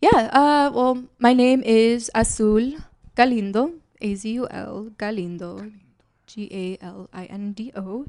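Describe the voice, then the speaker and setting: A soft-spoken woman with an American accent talks at a very slow pace. Her pitch is fairly high with ordinary variation, and her loudness swings a lot. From Chicago. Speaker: actor. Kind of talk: casual chat.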